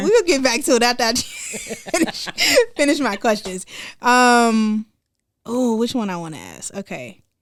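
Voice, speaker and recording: In a very clean recording with a silent background, a woman has a normal speaking voice with a fairly high pitch. She talks at a fairly slow pace with lively intonation and big swings in loudness. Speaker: podcast host. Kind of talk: casual conversation.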